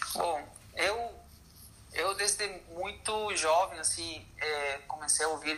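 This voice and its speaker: A man speaks with ordinary pitch variation through noticeable background noise. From Chile. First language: Spanish (speaking Portuguese). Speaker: orchestral percussionist. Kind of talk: interview. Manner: halting.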